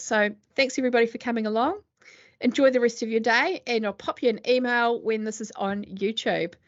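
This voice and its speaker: A fairly high-pitched woman's voice with a New Zealand accent. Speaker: accountant. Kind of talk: webinar presentation. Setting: video call. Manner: fast; hesitant, many fillers.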